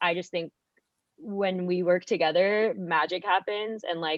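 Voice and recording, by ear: A woman speaks with a fairly low pitch, ordinary pitch variation and a fairly bright tone. The sound is dry and close, with no echo.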